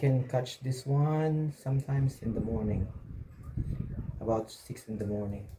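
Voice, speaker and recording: With a Filipino accent, a man speaks at a medium pitch in a somewhat breathy voice with a dark, mellow tone. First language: Filipino language. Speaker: vlogger. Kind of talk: casual vlog narration. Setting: outdoors by the sea. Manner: halting, with fillers.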